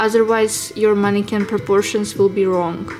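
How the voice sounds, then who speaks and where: Against noticeable background noise, a woman with a non-native accent speaks at a moderate pace and a fairly high pitch with ordinary pitch variation. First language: not English. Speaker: fashion designer, drawing teacher. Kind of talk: tutorial. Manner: halting, with fillers.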